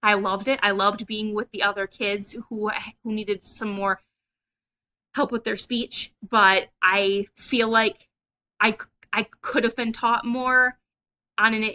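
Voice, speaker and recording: At a fairly high pitch, a woman with a bright, sharp tone talks in a monotone, flat intonation at a fairly slow pace with long, frequent pauses. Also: dry, close sound with no echo. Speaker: person who stutters, vlogger. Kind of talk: casual talk to camera.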